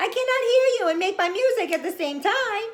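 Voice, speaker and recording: Using a put-on character voice, a woman sounds cheerful and squeaky at an extremely high pitch. Her intonation is lively. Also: fairly quick pace. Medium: read story. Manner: cheerful, eager.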